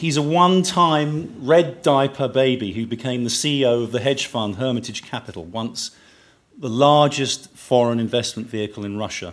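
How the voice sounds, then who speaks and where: Lively intonation marks this man's unremarkable speaking voice, delivered at medium pitch and a moderate pace. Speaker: event host. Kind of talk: formal stage introduction. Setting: stage with audience.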